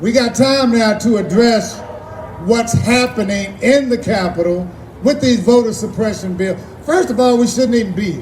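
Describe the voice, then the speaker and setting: A man's extremely high pitch with ordinary pitch variation at a moderate pace, plus noticeable background noise and audible room echo. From Texas, Austin. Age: 60s. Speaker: activist. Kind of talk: rally speech. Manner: impassioned.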